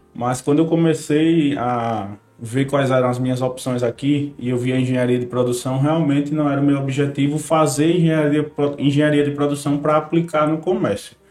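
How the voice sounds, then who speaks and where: A man with an unremarkable speaking voice talks at a moderate pace in a fairly high pitch, with fairly even intonation and hardly any pauses. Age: 20s. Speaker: family business manager, engineer. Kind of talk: casual chat.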